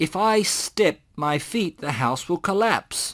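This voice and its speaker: At a fairly slow pace, a put-on character voice speaks at a middle pitch. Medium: read story. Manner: demanding.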